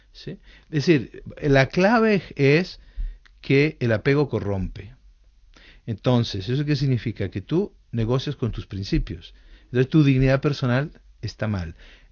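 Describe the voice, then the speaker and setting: Speaking at a fairly slow pace, a man uses a medium pitch. His pitch swings very widely. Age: 60s. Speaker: author and psychologist. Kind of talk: radio interview.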